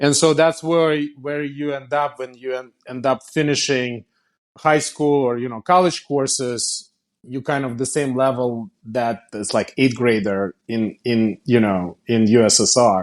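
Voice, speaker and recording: Against a quiet background, a man with a Russian accent speaks at a fairly slow pace with ordinary pitch variation. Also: medium pitch for a man. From Russia (Kazan). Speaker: company founder and CEO. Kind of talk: interview. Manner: halting, many repetitions.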